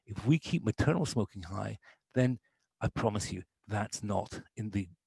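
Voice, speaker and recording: A man speaks with lively intonation and vocal fry. The sound is dry and close, with no echo. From Canada. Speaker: public health official. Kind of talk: presentation. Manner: animated.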